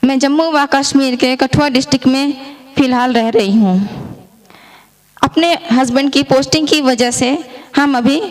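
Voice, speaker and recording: A woman speaks in a high voice with ordinary pitch variation and very even loudness. Her pauses are long and frequent. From India, Madhya Pradesh (Jabalpur). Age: 30s. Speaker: product customer, army wife. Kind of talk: testimony.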